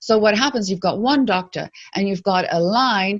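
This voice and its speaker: Set against a quiet background, a woman speaks at a medium pitch with lively intonation. Her voice is somewhat breathy. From South Africa. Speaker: activist. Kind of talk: interview. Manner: halting, frequent repetitions.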